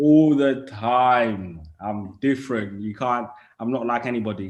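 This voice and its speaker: Speaking at a fairly slow pace, a man with an East London accent keeps a medium pitch and ordinary pitch variation. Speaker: rapper. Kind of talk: interview.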